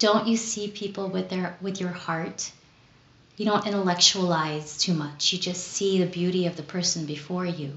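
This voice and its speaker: Her intonation stays fairly even. The woman speaks with a Californian accent. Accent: Californian American English. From Southern California (Los Angeles), born in Philippines. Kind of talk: retreat talk. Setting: recorded on camera.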